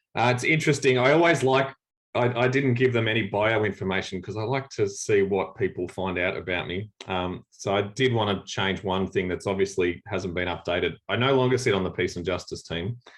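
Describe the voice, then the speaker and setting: A man speaks with an Australian accent at a fairly low pitch and a fairly quick pace. His pitch varies in an ordinary way, and the background is quiet. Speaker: church leader. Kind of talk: workshop talk on video call. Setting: video call. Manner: halting, many fillers.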